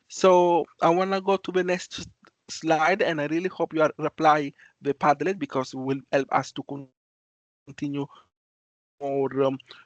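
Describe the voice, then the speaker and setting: A fairly high-pitched man with an Italian accent, moderate pace and fairly even intonation, long and frequent pauses, in a dry, close sound with no echo and a quiet background. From Italy. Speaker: student volunteer. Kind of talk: online presentation. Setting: video call. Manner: halting.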